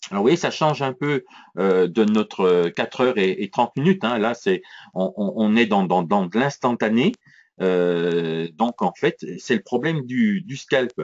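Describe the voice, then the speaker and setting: At a fairly slow pace, a man of medium pitch talks with very wide pitch swings. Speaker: trading educator. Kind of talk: live trading tutorial. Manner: hesitant with repetitions.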